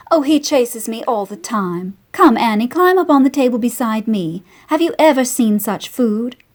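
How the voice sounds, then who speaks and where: A woman's put-on character voice, high in pitch, with hardly any pauses. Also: moderate pace. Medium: read story. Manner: grand, showy.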